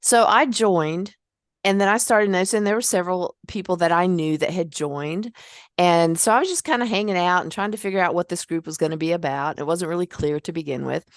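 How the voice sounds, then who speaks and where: This woman talks at a very fast pace in a fairly low pitch with ordinary pitch variation. The background is quiet. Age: 60s. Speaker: podcast host and memoir author. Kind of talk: casual interview conversation. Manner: animated storytelling.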